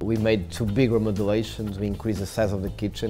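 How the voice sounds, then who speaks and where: The speech runs at a very fast pace with fairly even intonation. Clear music plays in the background. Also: man. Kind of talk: interview answer. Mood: warm, passionate. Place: cafe. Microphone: lapel.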